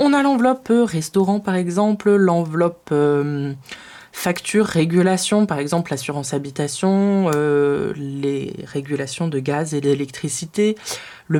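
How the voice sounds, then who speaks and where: The pace is fairly slow, with lively intonation. The tone is dark and mellow. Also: woman. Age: 20s. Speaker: personal finance youtuber. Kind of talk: tutorial. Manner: hesitant, many filler sounds.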